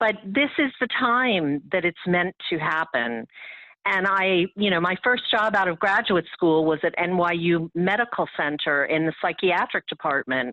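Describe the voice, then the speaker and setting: A woman speaks fairly slowly with a fairly low pitch. Her intonation is lively while her loudness stays very even. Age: 60s. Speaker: spiritual activist. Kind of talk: interview. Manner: hesitant, many fillers.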